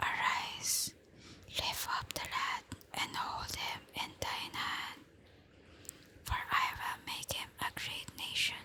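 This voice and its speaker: Whispering in a calm tone, a woman speaks at a very slow pace with long, frequent pauses as noticeable background noise carries on. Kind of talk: ASMR bible reading before sleep. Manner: soft-spoken, slow, calm.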